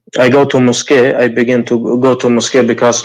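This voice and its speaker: A man speaks at a medium pitch. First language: not English. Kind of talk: call-in conversation. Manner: halting, many hesitations.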